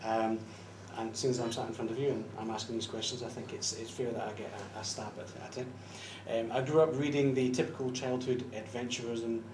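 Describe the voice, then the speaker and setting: A man in a Scottish accent speaks at medium pitch and a fairly quick pace, his intonation fairly even. Noticeable background noise and audible room echo are present. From Scotland. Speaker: fan interviewer. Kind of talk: interview questions.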